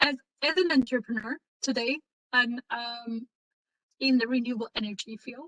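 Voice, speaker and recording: With a Turkish accent, a woman speaks fairly slowly at a high pitch with a bright, sharp tone and fairly even intonation, in a dry, close sound with no echo. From Turkey. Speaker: renewable energy entrepreneur. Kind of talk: career talk in online session. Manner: halting, many fillers.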